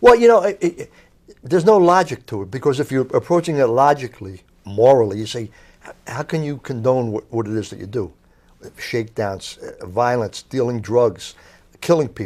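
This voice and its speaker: A man with a South Philadelphia accent talks at a moderate pace and a medium pitch. His intonation is lively, and his loudness swings widely. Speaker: author, crime journalist. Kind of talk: interview.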